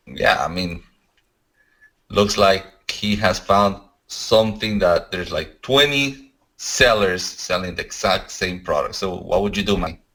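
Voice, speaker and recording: Talking fairly slowly with a non-native accent, a man with a bright, sharp tone and fairly low pitch shows ordinary pitch variation. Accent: foreign. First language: not English. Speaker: podcast co-host. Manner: halting.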